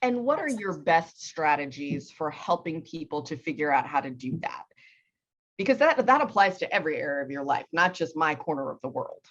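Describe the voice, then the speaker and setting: A plain, everyday voice from a woman with an American accent, fairly low in pitch, with lively intonation at a fairly quick pace. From US East Coast. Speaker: podcast host. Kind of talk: interview conversation.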